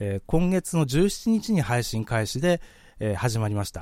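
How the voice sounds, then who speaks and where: The speaker's dark, mellow tone moves through very wide pitch swings on a very clean recording with a silent background. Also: man. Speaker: podcast host. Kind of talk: live-streamed solo podcast talk. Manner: fast.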